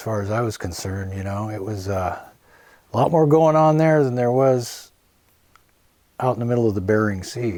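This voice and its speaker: A man's dark, mellow voice with an American accent, medium pitch, ordinary pitch variation, moderate pace, and audible room echo. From US Pacific Northwest, Portland, Oregon. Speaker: musician. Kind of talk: interview. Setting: home. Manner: casual, filler-heavy.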